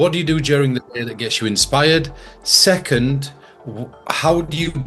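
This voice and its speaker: Over music in the background, a man talks at a fairly quick pace with ordinary pitch variation. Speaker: mentalist and interviewer. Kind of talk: casual interview. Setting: video call.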